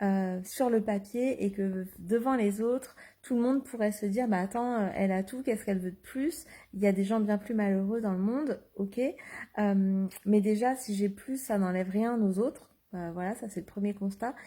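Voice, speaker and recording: A dark, mellow voice carries some breathiness. Its tempo is moderate, and its pitch rises and falls in an ordinary way. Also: woman, medium pitch for a woman. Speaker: life coach. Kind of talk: Facebook live monologue. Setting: live video stream. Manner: hesitant, many fillers.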